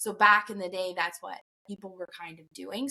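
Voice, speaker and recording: A woman speaks with a slight Newfoundland accent. Her pitch is medium and her pace fairly quick. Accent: slight Newfoundland tinge. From Alberta, Canada. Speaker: safety professional. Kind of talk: podcast interview.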